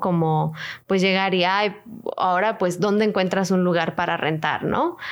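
Speaking fairly slowly with a Mexican accent, a woman uses a medium pitch and ordinary pitch variation. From Mexico. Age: 20s. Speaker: podcast co-host. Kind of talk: casual chat.

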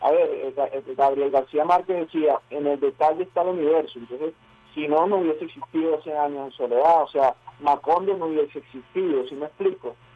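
A man speaks at a fairly quick pace with a fairly high pitch. His intonation stays fairly even. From Venezuela. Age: 30s. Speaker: actor and filmmaker. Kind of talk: radio interview.

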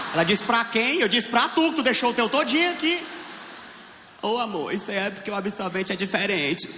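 A man's raised, projected, high-pitched voice at a fairly quick pace, very wide pitch swings, audible room echo and noticeable background noise. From Piauí, Brazilian Northeast. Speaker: stand-up comedian. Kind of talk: stand-up. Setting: stage with audience. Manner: animated.

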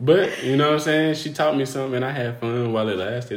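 With noticeable background noise and audible room echo, a man speaks with lively intonation. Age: 20s. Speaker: podcast host and barber. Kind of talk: casual chat. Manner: casual, laughing often.

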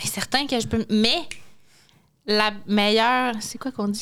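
This woman talks with a Quebec City accent at a moderate pace. Her intonation stays fairly even. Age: 20s. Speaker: French teacher. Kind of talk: casual chat.

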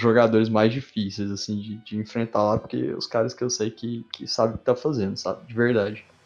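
A man's unremarkable speaking voice at medium pitch, with fairly even intonation. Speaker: card game player. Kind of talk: casual chat.

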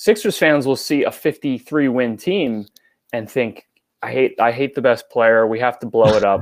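On a very clean recording with a silent background, a man with a plain, everyday voice speaks at a medium pitch and moderate pace with ordinary pitch variation. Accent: American. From New York. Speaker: sports writer and podcaster. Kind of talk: casual chat.

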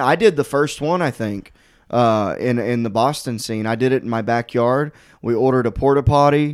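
A man with an unremarkable speaking voice at medium pitch, moderate in pace and fairly even in intonation, on a very clean recording with a silent background. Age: 30s. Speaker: stand-up comedian. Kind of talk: casual chat.

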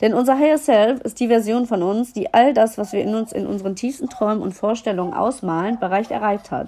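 A woman's dark, mellow voice at a fairly high pitch, with ordinary pitch variation and a moderate pace. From Germany, Düsseldorf. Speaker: podcast host and mindset coach. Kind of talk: solo podcast monologue. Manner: animated.

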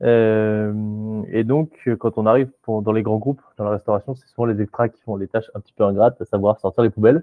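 A fairly low male voice with hardly any pauses and big swings in loudness. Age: 20s. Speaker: startup co-founder. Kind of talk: interview. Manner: halting.

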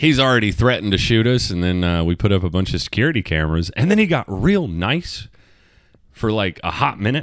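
A man with a fairly low voice swings his pitch very widely, captured in a very clean recording against a silent background. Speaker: podcast host. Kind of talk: casual solo monologue. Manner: casual, rambling.

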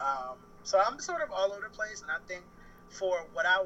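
A man speaks in a raised, projected voice pitched high. His pitch swings very widely. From Baltimore, Maryland, US East Coast. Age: 20s. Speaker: freelancer, cook. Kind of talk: casual chat. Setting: phone call.

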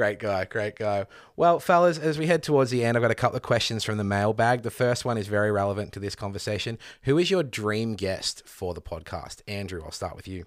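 A man speaks with lively intonation and a fairly low pitch. His loudness swings widely. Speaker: podcast host. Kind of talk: casual interview chat.

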